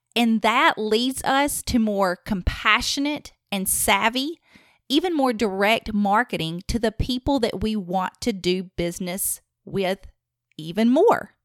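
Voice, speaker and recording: A woman with a strong Southern US accent speaks at a fairly high pitch and a fairly slow pace, her intonation lively. The sound is dry and close with no echo, on a very clean recording with a silent background. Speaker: podcast host and marketing consultant. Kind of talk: solo podcast monologue.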